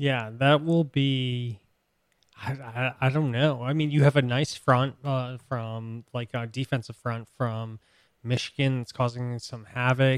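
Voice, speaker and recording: A man with an American accent speaks fairly slowly at a medium pitch. His intonation is flat and monotone, and the sound is dry and close with no echo. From US Northeast. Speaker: sports podcast co-host. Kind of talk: casual chat. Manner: halting.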